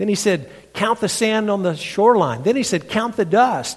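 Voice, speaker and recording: A high-pitched man's voice in a Southern US accent, with lively intonation at a moderate pace. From North Carolina, US South. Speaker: pastor and preacher. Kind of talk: sermon. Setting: church.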